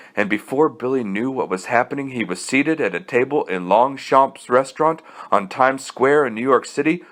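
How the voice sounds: The reading voice here sounds natural.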